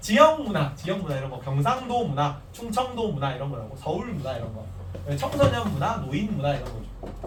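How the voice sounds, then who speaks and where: Over noticeable background noise and audible room echo, a man with a fairly high pitch speaks at a fairly quick pace in an animated tone, with very wide pitch swings. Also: big swings in loudness. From Korea, Gyeongsang region. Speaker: teacher. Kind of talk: lecture. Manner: casual, animated.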